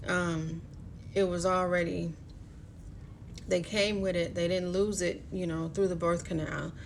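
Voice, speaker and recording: A woman speaks at a fairly low pitch and fairly slow pace, her intonation monotone and flat. She leaves long, frequent pauses, and the room echo is audible. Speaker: astrology card reader. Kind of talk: live-streamed card reading. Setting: live stream. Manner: casual, filler-heavy.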